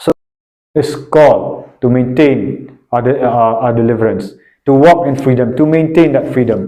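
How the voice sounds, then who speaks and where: A man speaks at medium pitch and a moderate pace. His tone is dark and mellow, with fairly even intonation. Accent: non-native. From Northeast India (Shillong, Meghalaya). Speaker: preacher. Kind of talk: sermon. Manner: halting, with frequent repetitions and fillers.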